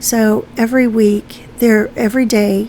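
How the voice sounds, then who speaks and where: With a fairly high voice and monotone, flat intonation, a woman talks fairly slowly amid noticeable background noise. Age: 60s. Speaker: art YouTuber. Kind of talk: casual chat while painting. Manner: hesitant, many fillers.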